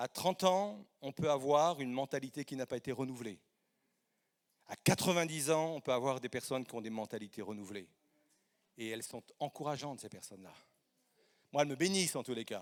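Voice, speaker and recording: A man speaks at a fairly quick pace and medium pitch with lively intonation, big swings in loudness and long, frequent pauses. The recording is very clean with a silent background, and the sound is dry and close with no echo. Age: 50s. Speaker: guest preacher. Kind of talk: sermon. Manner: halting.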